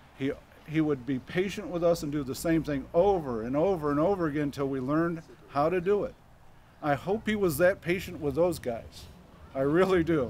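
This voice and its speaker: A man's fairly high voice in a Midwestern US accent at a fairly quick pace. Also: ordinary pitch variation. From Michigan. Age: 70s. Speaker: local resident speaker. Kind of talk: public speech. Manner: casual.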